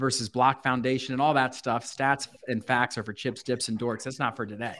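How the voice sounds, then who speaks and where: A man with an American accent, medium pitch and monotone, flat intonation. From Baltimore, Maryland. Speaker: real estate agent.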